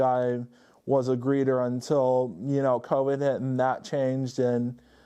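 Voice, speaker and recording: Over a quiet background, a man with a medium pitch and a dark, mellow tone speaks in a monotone, flat way at a fairly slow pace. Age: 20s. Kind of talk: interview. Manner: halting with fillers.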